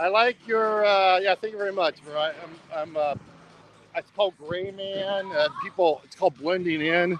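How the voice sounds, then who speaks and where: Noticeable background noise sits under a man with an American accent and a high pitch. He keeps a moderate pace with ordinary pitch variation and big swings in loudness. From US. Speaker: travel live streamer. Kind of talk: casual live stream.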